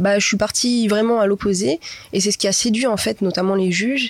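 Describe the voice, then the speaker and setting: In a plain, everyday voice, a woman talks at a fairly quick pace with medium pitch and ordinary pitch variation. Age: 20s. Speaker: pastry shop owner. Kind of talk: interview. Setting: cinema room.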